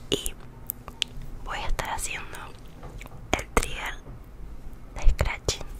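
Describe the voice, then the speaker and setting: Speaking very slowly, a woman is heard. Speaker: ASMR artist. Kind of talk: ASMR triggers, soft close-mic talk to viewer. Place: home room.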